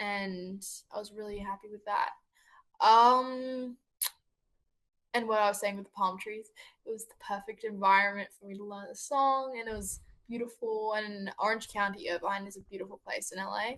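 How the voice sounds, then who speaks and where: A woman's fairly high voice in an Australian accent, at a moderate pace, with fairly even intonation and big swings in loudness. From Australia, Sydney. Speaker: singer-songwriter. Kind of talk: interview. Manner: halting.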